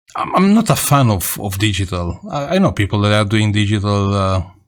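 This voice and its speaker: This man has a Romanian accent and a fairly low pitch. His pace is moderate. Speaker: radio amateur. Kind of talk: casual vlog talk. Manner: halting.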